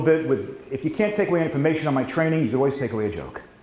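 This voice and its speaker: Over noticeable background noise and audible room echo, a man with an American accent talks at a very fast pace, fairly high-pitched and with lively intonation. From New York. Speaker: sales trainer. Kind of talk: seminar training.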